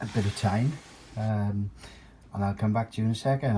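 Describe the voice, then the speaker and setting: A man with a dark, mellow tone and a somewhat breathy, fairly low voice speaks at a moderate pace. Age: 60s. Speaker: amateur guitar maker, former club singer. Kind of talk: tutorial. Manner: halting, many fillers.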